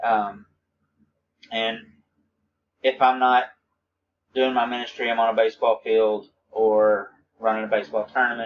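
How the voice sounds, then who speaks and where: Speaking at a moderate pace and a medium pitch, a man keeps a flat monotone and takes long, frequent pauses. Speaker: minister recording a class reflection. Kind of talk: recorded video monologue. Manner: halting, with stammers.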